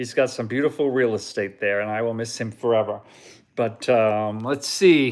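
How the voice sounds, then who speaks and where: With ordinary pitch variation and a moderate pace, a man talks on a very clean recording against a silent background. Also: medium pitch for a man. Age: 60s. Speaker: Disney travel vlogger. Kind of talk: casual live stream chat. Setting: live video stream. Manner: halting, many fillers.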